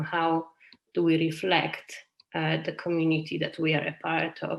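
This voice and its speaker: A woman speaks with a Polish accent. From Poland. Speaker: community garden project leader. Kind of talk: webinar talk. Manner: hesitant, many fillers.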